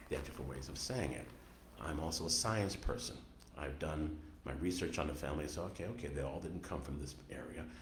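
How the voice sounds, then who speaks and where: A man with an American accent speaks very fast, his pitch very deep and low with ordinary variation. Audible echo fills the room. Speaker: author. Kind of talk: radio interview.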